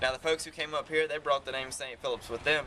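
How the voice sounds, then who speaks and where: With a Southern accent, a man speaks at a very fast pace. Noticeable background noise runs behind him. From South Carolina, Heath Springs. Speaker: carriage tour guide. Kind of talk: guided tour commentary. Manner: animated.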